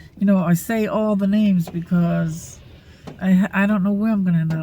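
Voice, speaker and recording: A woman's somewhat breathy voice, fairly low in pitch and dark and mellow in tone, with fairly even intonation. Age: 60s. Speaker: vlogger. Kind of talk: casual vlog monologue. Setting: at rural camp, near a single-wide. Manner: halting, many fillers.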